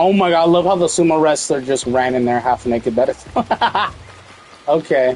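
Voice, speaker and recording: An animated man talks at a fairly quick pace and fairly high pitch with ordinary pitch variation, taking long, frequent pauses. Noticeable background noise can be heard. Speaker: gaming video creator. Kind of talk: gameplay commentary.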